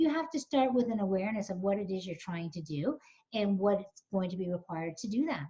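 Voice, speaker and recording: At a very fast pace, a woman's medium-pitched, somewhat breathy voice has a dark, mellow tone and very wide pitch swings. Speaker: coach and webinar presenter. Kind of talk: webinar presentation. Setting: online webinar.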